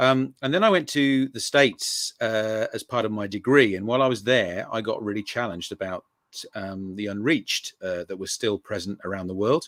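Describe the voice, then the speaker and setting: A man with an English accent, fairly low pitch and moderate pace, in a dry, close sound with no echo on a very clean recording with a silent background. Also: ordinary pitch variation. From England. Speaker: mission researcher and author. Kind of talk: interview. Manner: hesitant, many fillers.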